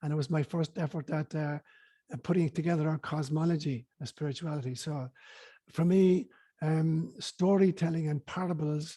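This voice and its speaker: A man in an Irish accent with a dark, mellow tone, fairly high pitch, fairly even intonation and moderate pace, in a very clean recording with a silent background and a dry, close sound with no echo. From Ireland, County Cork. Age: 70s. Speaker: spiritual teacher and priest. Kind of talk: interview.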